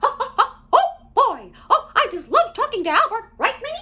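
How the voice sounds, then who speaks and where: An extremely high-pitched, put-on character voice goes along at a moderate pace. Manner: cheerful, excited.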